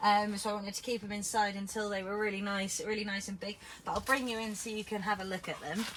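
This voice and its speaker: A woman talks at a very fast pace in a medium pitch with monotone, flat intonation. Noticeable background noise runs underneath. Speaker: gardening vlogger. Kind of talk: casual vlog tutorial. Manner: loud. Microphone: no microphone, camera audio.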